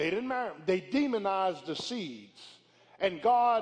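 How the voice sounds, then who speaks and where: A man speaks in an animated tone with a high voice. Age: 50s. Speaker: pastor. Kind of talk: sermon. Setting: church.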